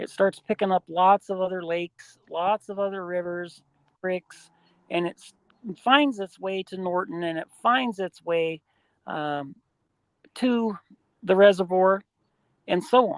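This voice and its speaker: With an Ohio accent, a woman at medium pitch speaks with long, frequent pauses, ordinary pitch variation, big swings in loudness, and a dry, close sound with no echo. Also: fairly slow pace. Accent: Midwestern US (Ohio). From Ohio, south of Akron. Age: 60s. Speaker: Bigfoot researcher. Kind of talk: interview. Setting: live stream.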